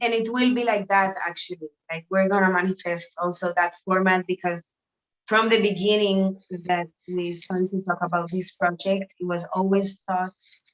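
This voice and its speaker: Monotone and flat in intonation, a woman with a Spanish accent speaks at a medium pitch and a moderate pace. The sound is dry and close, with no echo. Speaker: artist. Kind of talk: interview. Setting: video call from a shower room. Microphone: echo off bathroom tiles.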